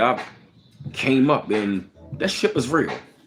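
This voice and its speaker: With noticeable background noise, a man in an American accent speaks at a medium pitch and a very slow pace. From Baltimore, Maryland. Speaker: livestream host. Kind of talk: casual livestream chat. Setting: live stream. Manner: casual, conversational.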